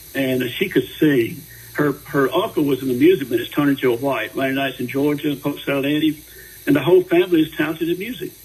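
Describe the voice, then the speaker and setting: The speaker talks at a very fast pace, somewhat breathy, with ordinary pitch variation. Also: man, fairly high pitch for a man. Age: 70s. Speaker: singer-songwriter. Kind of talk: radio interview. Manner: halting.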